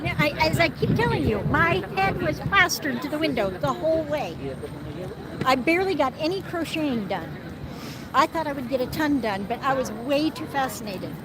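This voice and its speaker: Amid noticeable background noise and audible room echo, a woman speaks high and fairly quickly, her pitch swinging very widely. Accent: American. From US Midwest, Nebraska. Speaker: guest on live stream. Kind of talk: casual chat.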